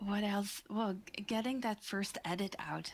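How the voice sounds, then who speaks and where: The speaker has a Dutch accent. The pace is fairly slow. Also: woman. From Netherlands, The Hague. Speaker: podcast manager. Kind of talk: interview.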